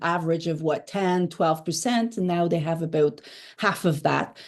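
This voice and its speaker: This woman has a dark, mellow tone and a fairly low pitch, with a Quebec accent. She talks at a moderate pace over a quiet background. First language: French. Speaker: political journalist. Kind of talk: interview. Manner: hesitant, many fillers.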